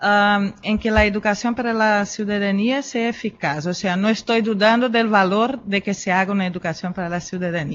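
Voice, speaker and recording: Hardly pausing, a woman of medium pitch speaks with a Brazilian accent and fairly even intonation. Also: moderate pace. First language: Portuguese (speaking Spanish). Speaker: philosopher and educator. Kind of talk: conference talk. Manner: hesitant, many fillers.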